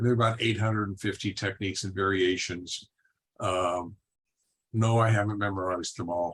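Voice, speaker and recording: Monotone, flat delivery from a man at a fairly quick pace and a fairly low pitch. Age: 70s. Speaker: martial arts teacher. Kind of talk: panel discussion. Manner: halting.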